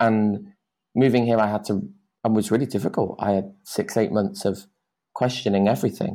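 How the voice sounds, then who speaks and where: Speaking at a fairly quick pace, a man with a British accent has a fairly low pitch, a dark, mellow tone and ordinary pitch variation, in a very clean recording with a silent background. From UK. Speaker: dance teacher. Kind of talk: podcast interview.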